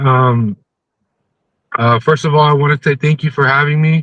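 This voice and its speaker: With an American accent, a man talks at a moderate pace, the sound dry and close with no echo. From California Bay Area. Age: 30s. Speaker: plaintiff, immigrant. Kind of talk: interview testimony.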